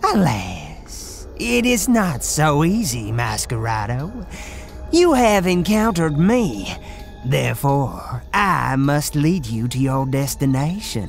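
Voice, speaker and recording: Clear music plays in the background. Over it, a cartoonish character voice speaks at a fairly slow pace. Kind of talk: cartoon grim reaper. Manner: slow, formal, ominous.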